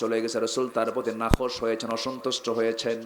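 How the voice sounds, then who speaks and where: A man speaks with music in the background. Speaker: Islamic preacher. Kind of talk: religious sermon.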